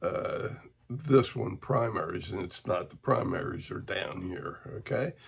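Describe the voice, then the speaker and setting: A man talking at a fairly slow pace, with big swings in loudness and noticeable background noise. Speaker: woodcarving instructor. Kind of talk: tutorial. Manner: hesitant, many fillers.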